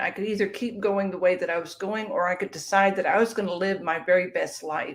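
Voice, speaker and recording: Using a normal speaking voice, a woman talks at a fairly quick pace and a medium pitch. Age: 60s. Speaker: author and weight-loss guest. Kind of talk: interview.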